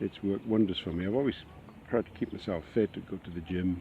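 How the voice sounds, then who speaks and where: This man's voice is somewhat breathy, his pitch very deep and low. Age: 60s. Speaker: retired teacher. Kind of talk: testimony. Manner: halting.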